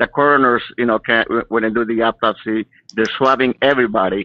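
A man speaks in a normal speaking voice with an American accent, at a medium pitch. His pace is fairly quick and his intonation fairly even. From California. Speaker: caller. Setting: phone call.

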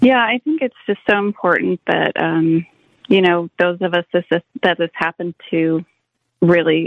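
Using a plain, everyday voice, a woman speaks at a moderate pace and fairly low pitch with ordinary pitch variation. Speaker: caller. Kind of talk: call-in testimony. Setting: phone call.

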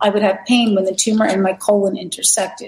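Somewhat breathy, the voice moves along at a fairly quick pace. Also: woman. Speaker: wellness center operator. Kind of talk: presentation with testimonies. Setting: video call from outdoor balcony.

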